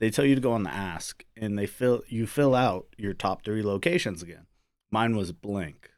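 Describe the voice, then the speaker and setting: A man in a plain, everyday voice, medium in pitch with ordinary pitch variation, at a moderate pace, on a very clean recording with a silent background. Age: 30s. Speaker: army soldier and father. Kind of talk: casual chat. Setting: studio.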